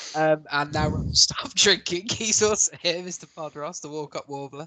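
Over noticeable background noise, a man with an English accent speaks at a moderate pace in a fairly high voice with ordinary pitch variation and big swings in loudness. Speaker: podcast host. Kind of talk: casual chat. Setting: podcast recording.

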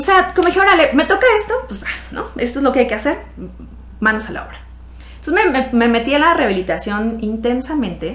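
A woman talks at a very fast pace in a high pitch, with very wide pitch swings. Her loudness swings a lot, and audible room echo surrounds her. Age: 30s. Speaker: financial advisor, accident survivor. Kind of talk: interview testimony.

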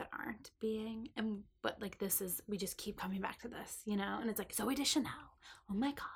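Somewhat breathy and animated, a woman's fairly high voice moves at a fairly quick pace. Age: 20s. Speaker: podcast co-host. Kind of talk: casual chat.

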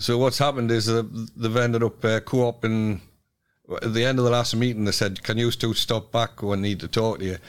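This man speaks in a Geordie accent at a fairly quick pace. His medium-pitched voice has monotone, flat intonation. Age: 70s. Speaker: community group chair and cycling club leader. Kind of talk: interview.

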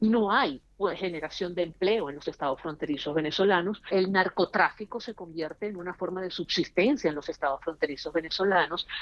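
A woman's plain, everyday voice, fairly low in pitch, at a fairly quick pace with hardly any pauses and ordinary pitch variation. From Venezuela. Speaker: political analyst. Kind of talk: panel discussion.

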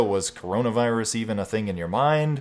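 Speaking at a fairly quick pace with ordinary pitch variation, a man has an unremarkable speaking voice on a very clean recording with a silent background. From Texas Panhandle. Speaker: podcast host. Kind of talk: casual interview chat.

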